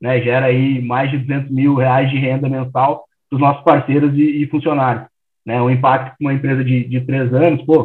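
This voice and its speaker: A man's medium-pitched voice at a moderate pace. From Rio Grande do Sul, Porto Alegre. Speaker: startup founder. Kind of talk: interview.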